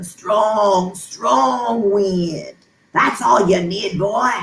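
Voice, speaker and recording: A croaky, put-on character voice at a middle pitch drawls along at a very slow pace. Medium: read story.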